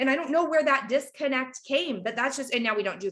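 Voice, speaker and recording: Her pitch is high and her intonation lively. The woman is heard in a very clean recording with a silent background. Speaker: direct sales team leader. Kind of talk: team training talk. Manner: fast; animated.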